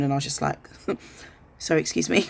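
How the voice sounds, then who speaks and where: A woman with an English accent. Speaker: vlogger. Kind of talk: personal vlog monologue. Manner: fast.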